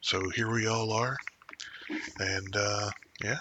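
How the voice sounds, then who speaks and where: The speaker is quiet and the intonation monotone, flat. Noticeable background noise is present. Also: man. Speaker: podcast host. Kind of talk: casual chat. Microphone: too quiet without amplification.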